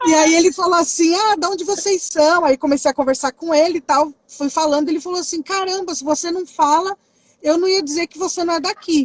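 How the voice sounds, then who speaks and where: Animated and fairly quick, this woman talks at an extremely high pitch. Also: dry, close sound with no echo. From Brazil. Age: 30s. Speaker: youth ministry worker. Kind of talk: casual interview.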